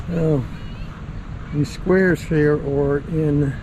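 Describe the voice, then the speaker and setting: A man speaks very slowly in a fairly high voice with fairly even intonation. Noticeable background noise is present. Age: 70s. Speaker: retired veteran vlogger. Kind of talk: casual walking tour narration. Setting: outdoors.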